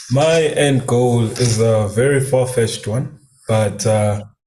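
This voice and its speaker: Speaking with an Eswatini accent, a man of medium pitch has a dark, mellow tone and a somewhat breathy quality. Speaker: new business member. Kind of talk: testimony. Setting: live stream.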